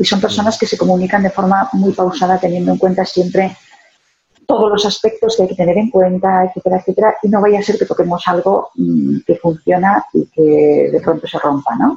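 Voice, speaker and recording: A woman speaks fairly quickly at a medium pitch, with ordinary pitch variation and very even loudness. It is a normal speaking voice. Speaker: sales consultant and author. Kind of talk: interview.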